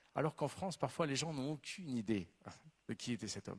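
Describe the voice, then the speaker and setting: Very wide pitch swings mark a man's fairly high voice. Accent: Spanish. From Venezuela. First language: Spanish (speaking French). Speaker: novelist. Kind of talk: literary talk.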